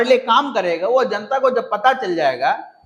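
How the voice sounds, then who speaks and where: This man's voice is extremely high. His intonation is lively. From Andhra Pradesh, South India. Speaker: political activist. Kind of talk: podcast interview. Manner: halting, non-fluent Hindi.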